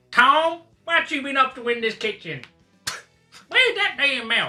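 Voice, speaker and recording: Someone uses a put-on character voice, high in pitch, at a moderate pace. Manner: scolding.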